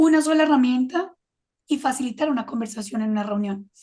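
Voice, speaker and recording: At a fairly quick pace, a woman speaks high in pitch with ordinary pitch variation. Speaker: creativity consultant and adjunct professor. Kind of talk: interview.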